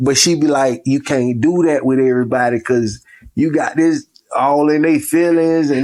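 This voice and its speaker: At a moderate pace, a man speaks. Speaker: podcast guest. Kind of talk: casual chat. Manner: stern-sounding.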